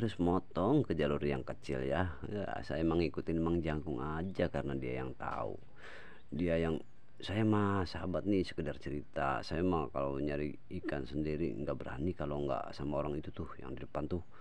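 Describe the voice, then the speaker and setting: A man's very deep, low voice in a West Javanese accent, at a moderate pace with lively intonation and audible room echo. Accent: Sundanese accent in Indonesian. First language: Sundanese (speaking Indonesian). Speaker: vlogger. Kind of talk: casual vlog narration. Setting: outdoors, rice fields near a river. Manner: casual, chatty.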